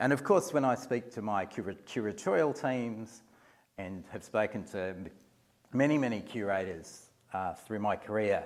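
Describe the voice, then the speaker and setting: At a moderate pace, a man with an Australian accent speaks at a fairly low pitch with lively intonation in a very clean recording with a silent background. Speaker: museum executive. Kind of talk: lecture. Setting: lecture hall with audience. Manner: halting, many fillers and repeats.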